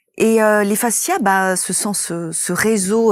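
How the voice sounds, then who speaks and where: Her pace is very slow. The woman's intonation remains fairly even. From Italy. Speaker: movement therapist and method creator. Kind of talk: interview. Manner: hesitant, with many fillers.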